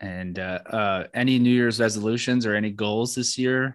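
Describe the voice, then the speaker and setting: Moderate in pace, this man speaks in an unremarkable speaking voice. His pitch is medium and his intonation fairly even. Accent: American. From Orlando, Florida. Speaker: podcast host. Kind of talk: casual chat.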